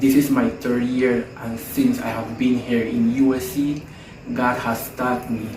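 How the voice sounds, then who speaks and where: A man talks at a fairly slow pace with a medium pitch and fairly even intonation. Noticeable background noise and audible room echo surround his voice. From Colombia. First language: Spanish. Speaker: theology student. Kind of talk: testimony.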